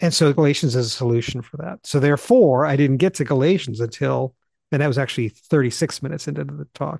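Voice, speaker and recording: A man's animated, somewhat breathy voice at a very fast pace, fairly high in pitch with ordinary pitch variation, in a dry, close recording with no echo and a quiet background. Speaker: Bible teacher and podcast co-host. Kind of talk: casual chat. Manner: fast talker; animated, excitable.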